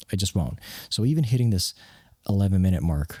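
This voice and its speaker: A man speaks softly with a dark, mellow tone. His voice is somewhat breathy. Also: dry, close sound with no echo, very clean recording, silent background. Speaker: software developer and hobby wedding videographer. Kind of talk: casual vlog talk. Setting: home workspace at night. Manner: hushed, soft-spoken; halting with fillers.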